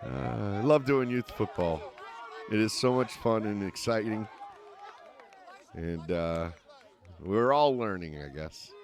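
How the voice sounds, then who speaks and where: The speaker goes at a fairly slow pace with long, frequent pauses and lively intonation. Noticeable background noise runs under the voice. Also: man, fairly low pitch for a man. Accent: Northeastern US. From US Northeast. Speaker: sports commentator. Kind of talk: live commentary.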